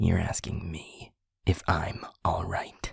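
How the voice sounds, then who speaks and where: A man's whispering put-on character voice at a very slow pace. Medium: audio drama. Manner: commanding, harsh.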